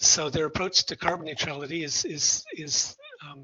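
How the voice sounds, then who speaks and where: The voice belongs to a man. It is fairly high in pitch. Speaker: sociology researcher. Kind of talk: lecture. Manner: fast.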